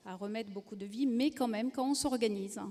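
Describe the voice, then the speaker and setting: A woman speaks in a dark, mellow tone with a slight southern French accent. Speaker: rail company executive. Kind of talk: panel discussion.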